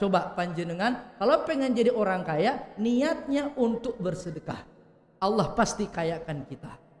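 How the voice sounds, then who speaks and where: A man's high-pitched voice at a moderate pace, lively in intonation, with audible room echo. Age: 30s. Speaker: Islamic preacher; preacher. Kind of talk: sermon. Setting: mosque hall with live audience. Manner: animated. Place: hall. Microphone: podium.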